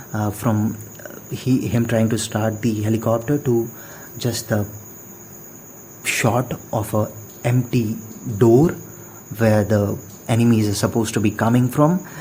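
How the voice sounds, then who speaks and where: A man with a non-native accent at a fairly slow pace, fairly even intonation, long and frequent pauses, and noticeable background noise. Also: medium pitch for a man. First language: not English. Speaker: podcast host. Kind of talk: casual monologue. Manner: halting, many fillers and repetitions.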